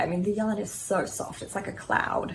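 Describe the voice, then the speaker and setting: There is light background noise as a woman talks at a moderate pace in an Australian accent. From Australia, Sydney. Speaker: knitting vlogger. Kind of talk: casual show-and-tell vlog. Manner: casual, with frequent filler ums. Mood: calm, fond. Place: home room. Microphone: quiet audio from a filming error; phone near.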